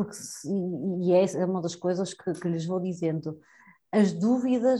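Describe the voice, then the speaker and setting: A woman talks at a moderate pace against a quiet background. Her tone is dark and mellow, and somewhat breathy. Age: 30s. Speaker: education professional, youth entrepreneurship trainer. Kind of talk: interview conversation.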